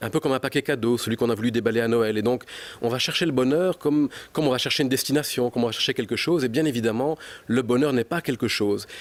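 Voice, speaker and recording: A man talks at a very fast pace with a medium pitch and ordinary pitch variation. His loudness stays very even, and the sound is dry and close with no echo. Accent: slight Belgian. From Belgium. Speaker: psychology researcher and author. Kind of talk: TV news interview.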